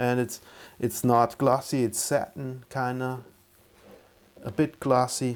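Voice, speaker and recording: A man with a non-native accent speaks at a medium pitch. His intonation is monotone and flat, broken by long, frequent pauses. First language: not English. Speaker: guitar builder YouTuber. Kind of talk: casual tutorial. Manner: halting, with many fillers and repeats.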